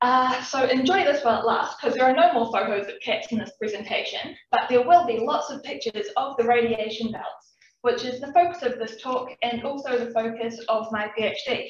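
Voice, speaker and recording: A woman with a New Zealand accent, high pitch, ordinary pitch variation, a moderate pace and hardly any pauses. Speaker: PhD student researcher. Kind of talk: public science talk. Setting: talk with live and Zoom audience.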